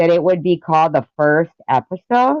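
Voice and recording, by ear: A woman with a fairly low pitch speaks with lively intonation in a dry, close sound with no echo.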